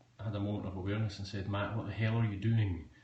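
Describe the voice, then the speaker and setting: A man with a Scottish accent speaks in a fairly low, flat monotone. Room echo is audible. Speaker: tech blogger and writer. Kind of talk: live-stream tech review answering viewer questions. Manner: casual with frequent fillers.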